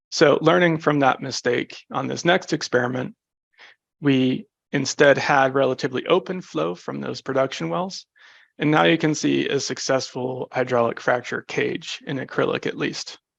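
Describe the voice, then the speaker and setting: Recorded with a dry, close sound and no echo, a man speaks at a medium pitch with lively intonation and vocal fry. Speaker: researcher presenting a seminar. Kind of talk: technical lecture. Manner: fast.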